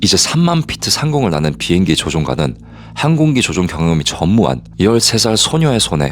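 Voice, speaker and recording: A man's very deep, low voice with very wide pitch swings at a moderate pace, over noticeable background noise. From Korea, moved to Canada at age 8. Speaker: private investigator and storyteller. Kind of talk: true-crime story narration.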